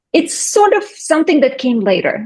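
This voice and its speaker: Speaking at a moderate pace, the woman has a Russian accent. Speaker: skincare business owner. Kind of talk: interview.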